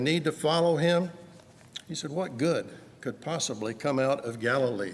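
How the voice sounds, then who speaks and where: A man with lively intonation amid audible room echo. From US South, Georgia. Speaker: preacher. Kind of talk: sermon.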